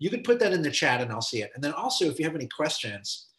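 The background stays quiet. A man delivers his words very fast. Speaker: film professor and filmmaker. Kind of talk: casual chat. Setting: video call. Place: home room. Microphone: video call.

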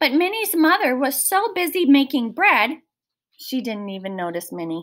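At a moderate pace, a woman speaks in a high voice with a fairly bright tone and lively intonation.

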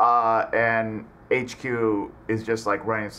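Slow and fairly low for a man, his bright, sharp tone carries little pitch movement.

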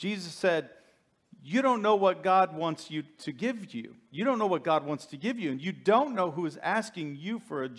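The intonation here is lively. It is plain reading aloud.

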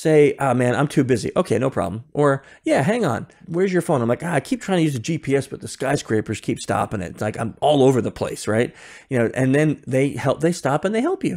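With lively intonation, a man talks over a quiet background. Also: fairly quick pace. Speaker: podcast guest. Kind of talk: interview answer. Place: home room.

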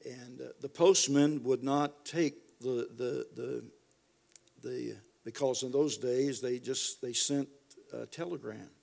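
A man with an American accent at a very slow pace, his loudness swinging widely. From US. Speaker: preacher. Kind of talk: sermon. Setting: church. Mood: warm, reminiscent, humorous. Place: church. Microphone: studio mic.

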